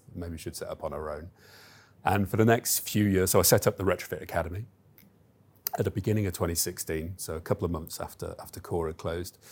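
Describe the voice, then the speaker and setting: A man talks very fast in a very deep, low pitch. His intonation stays fairly even while his loudness swings widely. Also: very clean recording, silent background. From Stoke-on-Trent, English Midlands. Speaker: chief executive of a training company. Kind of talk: interview. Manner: hesitant, many fillers.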